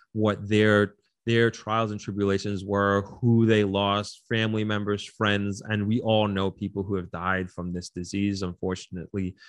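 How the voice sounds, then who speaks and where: A man talks in a fairly low pitch against a quiet background. His intonation is monotone and flat. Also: moderate pace, hardly any pauses. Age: 30s. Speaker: hotelier and marathon runner. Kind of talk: casual interview.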